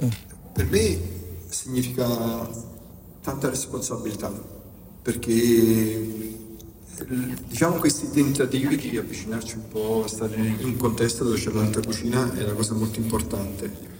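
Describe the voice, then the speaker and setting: A man talks at a moderate pace and medium pitch, with fairly even intonation and long, frequent pauses. There is audible room echo and noticeable background noise. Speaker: pizza chef. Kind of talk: press conference remarks.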